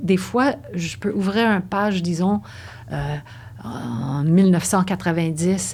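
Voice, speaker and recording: Somewhat breathy and fairly low in pitch, a woman speaks at a very slow pace with very wide pitch swings. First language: English (speaking French). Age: 60s. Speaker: dancer and yoga teacher. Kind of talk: interview conversation. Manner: halting.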